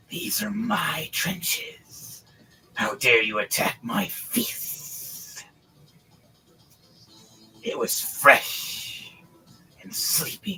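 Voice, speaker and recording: In a shrill, put-on character voice pitched high, a man speaks very slowly with long, frequent pauses. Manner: angry, hostile.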